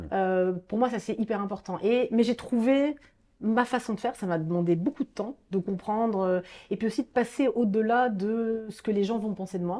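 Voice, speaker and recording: A woman speaks at a moderate pace in a fairly high pitch with a dark, mellow tone. Her pitch varies in an ordinary way against a quiet background. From Marseille, southern France. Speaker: classical guitarist. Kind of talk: interview conversation.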